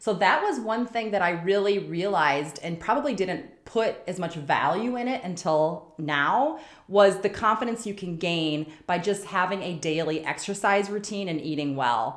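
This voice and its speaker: This woman speaks at a medium pitch and a moderate pace, with lively intonation and hardly any pauses. Noticeable background noise runs behind her. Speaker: nurse turned CEO, career podcast host. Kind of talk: career advice monologue. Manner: casual, filler-heavy.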